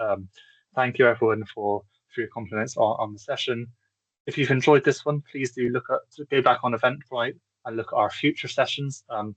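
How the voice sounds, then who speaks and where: With a Bristolian accent, a man talks at a fairly quick pace in a dry, close recording with no echo. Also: medium pitch for a man. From England, Bristol. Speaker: accessibility consultant. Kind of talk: webinar presentation. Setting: online webinar. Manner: fast when excited; halting, many repetitions.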